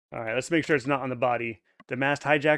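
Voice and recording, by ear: In a quiet background, a person is heard reading aloud in a natural voice.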